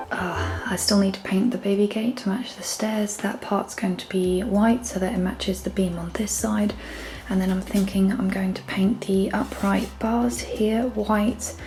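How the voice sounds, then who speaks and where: The speech moves at a fairly slow pace against noticeable background noise. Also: woman. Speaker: DIY home renovation vlogger. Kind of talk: casual DIY vlog narration. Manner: whispering.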